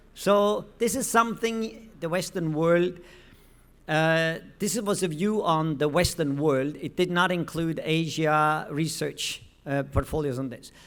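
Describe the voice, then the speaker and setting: At a fairly slow pace, a man speaks at a high pitch with ordinary pitch variation and audible room echo. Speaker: professor presenting research at a conference. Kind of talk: conference presentation.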